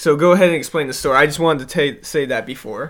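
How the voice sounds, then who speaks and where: A man with an American accent speaks in an ordinary speaking voice at a fairly high pitch with ordinary pitch variation. The recording is very clean, with a silent background. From US South and Indiana. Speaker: podcast co-host. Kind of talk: casual chat.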